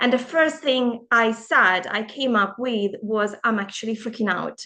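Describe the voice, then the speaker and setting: A woman's fairly high voice with a non-native accent, ordinary pitch variation, and a fairly slow pace. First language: not English. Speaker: empowerment coach. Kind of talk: casual vlog monologue.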